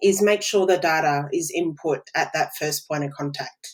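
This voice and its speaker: With an Australian accent, a woman speaks at a fairly slow pace. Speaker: business automation consultant. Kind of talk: podcast interview.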